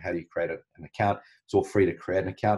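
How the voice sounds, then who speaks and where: A man with a strong New Zealand accent against a quiet background. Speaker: marketing business founder, ads instructor; ads instructor. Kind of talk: live online training tutorial. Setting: live video call webinar. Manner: hesitant, many ums and uhs. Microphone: video call.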